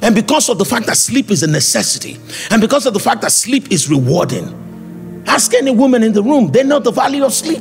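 A man's high-pitched voice with lively intonation, faint music playing behind it. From Nigeria. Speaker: preacher. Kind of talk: sermon. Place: church. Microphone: handheld.

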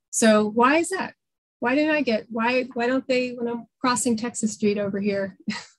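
A woman with an American accent speaks at a moderate pace in a high pitch with ordinary pitch variation against a quiet background. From New York City. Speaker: public defender; guest, defense attorney. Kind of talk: presentation. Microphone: video call.

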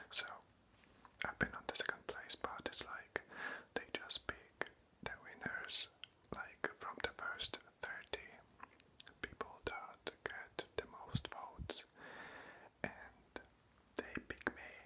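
A whispering man at a very slow pace, with long, frequent pauses. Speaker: ASMR creator. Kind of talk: casual talk to camera, update video. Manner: whispered, close-up. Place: home room. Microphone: phone near.

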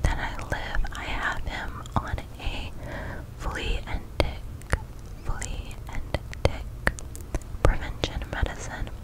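In a whisper, a woman talks very slowly, leaving long, frequent pauses. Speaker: ASMR creator. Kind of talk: soft-spoken casual vlog chat. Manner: close, crisp ASMR whisper. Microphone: studio mic.

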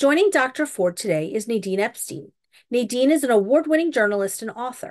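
A woman's high-pitched voice at a moderate pace against a quiet background. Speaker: event host introducing guests. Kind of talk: formal introduction. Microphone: video call.

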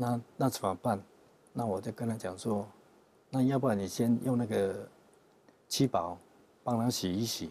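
The man's tone is dark and mellow. He speaks at a fairly slow pace with ordinary pitch variation. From Taiwan, Yunlin County; Taiwan. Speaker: religious group member; interview guest. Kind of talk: interview testimony. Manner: halting, many fillers. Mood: calm, friendly. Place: studio. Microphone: lapel.

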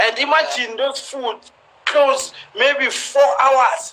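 A man speaks at a fairly slow pace in a raised, projected voice pitched extremely high. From South Africa. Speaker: professional footballer; live stream host. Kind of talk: casual Instagram live chat. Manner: humorous, confident. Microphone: phone near.

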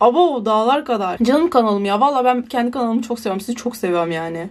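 With very wide pitch swings, a woman speaks at a high pitch in an animated tone and a fairly quick pace. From Turkey. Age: young. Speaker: student vlogger. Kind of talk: casual vlog. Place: home room. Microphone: phone near.

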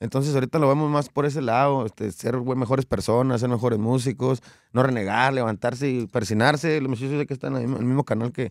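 Against a quiet background, a man speaks at a very fast pace in a dry sound with no echo. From Mexico, Coahuila. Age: 30s. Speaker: regional Mexican singer; guest. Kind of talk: interview. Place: studio. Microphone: studio mic.

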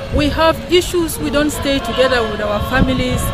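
With clear music in the background, a woman speaks at a moderate pace with ordinary pitch variation in a dry sound with no echo. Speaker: interviewee. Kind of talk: interview answer. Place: garden. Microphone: camera far.

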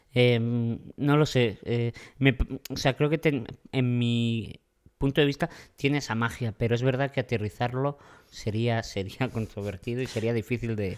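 With fairly even intonation, this man delivers his words at a fairly slow pace. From Madrid, Spain; Spain. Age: young. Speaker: comedian. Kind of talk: casual chat. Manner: hesitant, with fillers. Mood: relaxed, joking. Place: bar. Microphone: studio mic.

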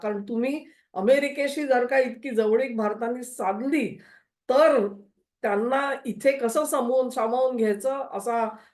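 A woman talks in a high pitch, her pitch variation ordinary. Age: old. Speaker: political commentator. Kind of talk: political analysis monologue.

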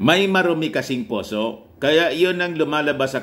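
A man's fairly high-pitched voice, with lively intonation, at a fairly slow pace. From Philippines. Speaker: political news vlogger. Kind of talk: political commentary vlog. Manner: laughs often while talking. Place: home room. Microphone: phone near.

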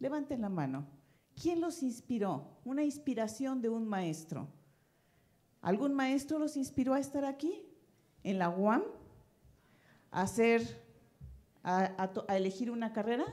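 A woman speaks at a fairly slow pace with long, frequent pauses. Her pitch swings very widely. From Mexico. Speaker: education researcher; speaker. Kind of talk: conference talk. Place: hall. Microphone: handheld.

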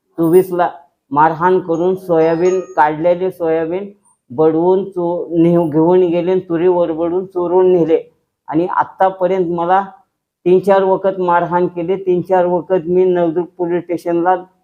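Over music in the background, a man with a high pitch speaks in a monotone, flat intonation. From Dharashiv district, Maharashtra. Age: old. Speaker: farmer. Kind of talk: testimony. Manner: halting.

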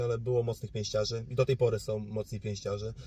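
A man's medium-pitched voice at a moderate pace, its intonation monotone and flat. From Poland, Suwałki region (north-east). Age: 20s. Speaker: boxer. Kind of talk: interview.

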